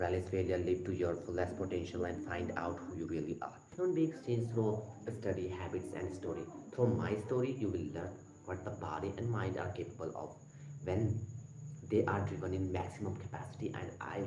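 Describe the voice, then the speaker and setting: Lively intonation and a fairly quick pace mark this man's fairly low-pitched voice. Audible room echo and noticeable background noise fill the recording. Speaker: motivational livestreamer. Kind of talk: livestream talk reading and commenting on a book. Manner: halting.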